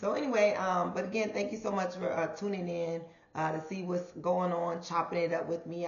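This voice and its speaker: A woman speaks at a moderate pace in a fairly low pitch. Audible room echo and noticeable background noise surround her voice. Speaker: podcast host. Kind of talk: casual monologue podcast.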